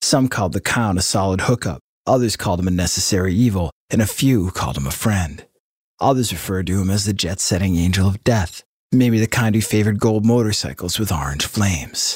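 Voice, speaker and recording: A man speaks at a fairly quick pace in a solemn, dramatic tone, his fairly low, somewhat breathy voice showing ordinary pitch variation. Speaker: podcast narrator. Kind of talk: true-crime narration, scripted storytelling. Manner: dramatic, suspenseful, measured pacing; solemn, ominous tone.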